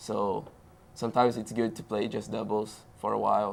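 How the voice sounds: Speaking at a moderate pace in a Brazilian accent, the voice carries vocal fry. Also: man.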